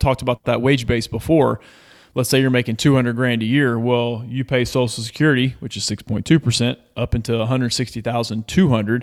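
Fairly quick and fairly even in intonation, a man speaks at medium pitch in an ordinary speaking voice. The recording is very clean, with a silent background. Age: 40s. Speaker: financial coach, former baseball player. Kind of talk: casual chat.

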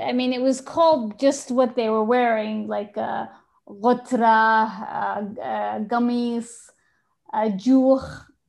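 Here a woman speaks with an Arabic accent and a high pitch. Her pace is very slow. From Yemen, Sana'a. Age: 50s. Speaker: photographer and artist. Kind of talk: interview. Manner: hesitant, many fillers.

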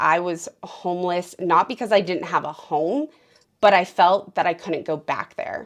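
The room behind her is quiet as this woman talks at a pitch in the middle of her range. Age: 30s. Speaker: podcast host, trauma survivor. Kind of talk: interview, personal testimony.

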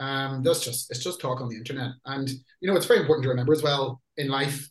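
A somewhat breathy voice with a Northern Irish accent at a fairly quick pace. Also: man. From Northern Ireland. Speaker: metal band lyricist and singer. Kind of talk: interview. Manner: casual.

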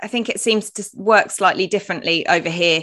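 Her tone is bright and sharp. The woman speaks at a medium pitch and a moderate pace. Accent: British. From UK. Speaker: podcast host. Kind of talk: podcast interview.

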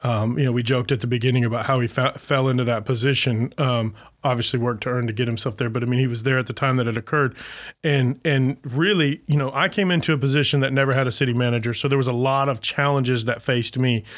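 Speaking at a very fast pace, a man with an American accent keeps a medium pitch, fairly even intonation and very even loudness. The recording is very clean, with a silent background. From US South, Florida Panhandle. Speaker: city manager. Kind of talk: casual chat.

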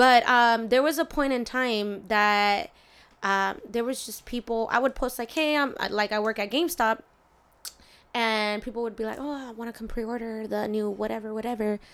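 On a very clean recording with a silent background, a woman with an ordinary speaking voice talks at a fairly high pitch and moderate pace with ordinary pitch variation. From US, Mexican family. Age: 20s. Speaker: barber. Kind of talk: casual interview chat.

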